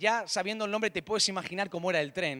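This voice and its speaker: A man is speaking. His tone is bright and sharp. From Spain, Catalonia (Barcelona). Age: 30s. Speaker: pastor. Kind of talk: sermon.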